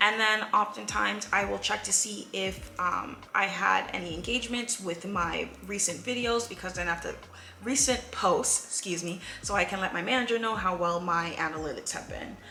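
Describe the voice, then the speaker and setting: Against noticeable background noise and audible room echo, a woman speaks at a medium pitch with ordinary pitch variation. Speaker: YouTuber. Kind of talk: casual vlog monologue. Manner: fast.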